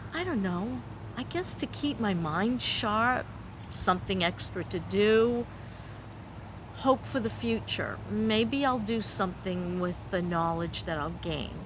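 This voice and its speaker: Somewhat breathy and at medium pitch, a woman speaks at a fairly slow pace with lively intonation and audible room echo. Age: 60s. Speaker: vlogger. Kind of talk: personal vlog monologue. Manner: halting.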